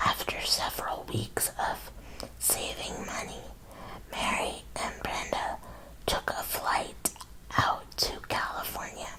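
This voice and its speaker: Very slow whispering from a woman, broken by long, frequent pauses, with noticeable background noise. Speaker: ASMR creator and autobiography reader. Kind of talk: ASMR story time reading. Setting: studio, close microphone. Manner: whispered, soft, up close.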